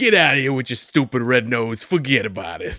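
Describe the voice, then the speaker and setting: Putting on a character voice in a Brooklyn accent, a man speaks at a medium pitch and a fairly quick pace. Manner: gruff, comic.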